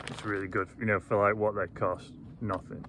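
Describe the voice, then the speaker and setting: In a Yorkshire accent, a man mumbles at a fairly quick pace and a fairly low pitch. His intonation stays monotone and flat against noticeable background noise. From Yorkshire, England. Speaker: landscape photographer. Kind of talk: casual talk to camera. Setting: outdoors. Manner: unpolished, mumbled diction.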